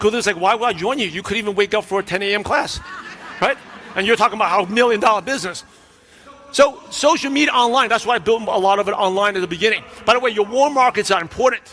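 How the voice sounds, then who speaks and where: Over noticeable background noise, a man with a New York accent speaks very fast in a raised, projected, high voice with ordinary pitch variation. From New York (Brooklyn). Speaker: business coach. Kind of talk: keynote speech.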